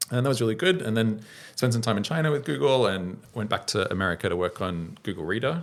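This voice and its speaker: Talking at a very fast pace, a man with an Australian accent swings very widely in pitch. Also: medium pitch for a man. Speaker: startup founder and software engineer. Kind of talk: podcast interview. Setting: studio.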